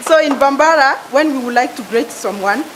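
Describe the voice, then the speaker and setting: A woman is heard speaking over noticeable background noise. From Mali. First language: French. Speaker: conference delegate. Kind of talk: self-introduction. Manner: halting.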